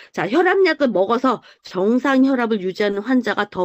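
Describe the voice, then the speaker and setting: A woman with an ordinary speaking voice talks at a moderate pace with lively intonation over a quiet background. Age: 50s. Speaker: health supplement group leader. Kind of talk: online group presentation. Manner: explanatory, with many fillers.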